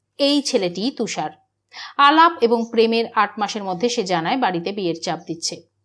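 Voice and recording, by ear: In a quiet setting, someone reads aloud naturally, the intonation lively throughout.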